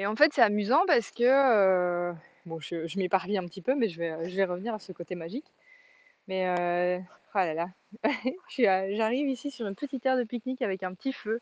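A woman of medium pitch with lively intonation, a fairly quick pace and long, frequent pauses, in a dry, close sound with no echo. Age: 30s. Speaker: life coach and podcaster. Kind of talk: casual monologue. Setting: outdoors by a fjord in Denmark. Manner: hesitant, many fillers.

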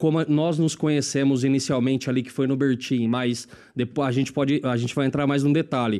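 A man with an interior São Paulo accent speaks at a moderate pace. His voice is fairly high in pitch, with a dark, mellow tone. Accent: interior São Paulo accent, rolled R. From Lins, interior of São Paulo state. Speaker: marketing executive. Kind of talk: casual chat.

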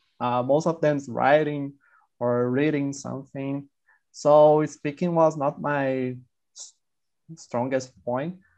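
At a very slow pace with long, frequent pauses, a man with a Brazilian accent speaks at a fairly high pitch with fairly even intonation over a quiet background. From Sao Paulo countryside, Brazil. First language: Portuguese. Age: 20s. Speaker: scientist, language learner. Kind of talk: casual group chat. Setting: video call, breakout room.

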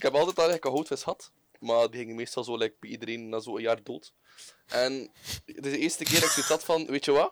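A man speaks with a Flemish accent at a fairly high pitch with ordinary variation. The sound is dry and close, with no echo. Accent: Flemish Dutch. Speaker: podcast co-host. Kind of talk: casual chat.

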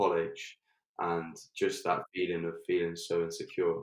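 A man with an English accent talks at a fairly slow pace. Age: 20s. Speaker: health coach. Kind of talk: personal testimony in interview.

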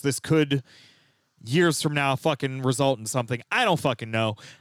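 Here is a man with a normal speaking voice at a fairly high pitch. The sound is dry and close, with no echo. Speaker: podcast host. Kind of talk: casual comedic news-recap chat.

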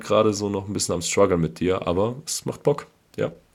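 With a very deep, low pitch, a man speaks at a fairly quick pace. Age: 30s. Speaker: football fan podcast co-host. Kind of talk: casual chat.

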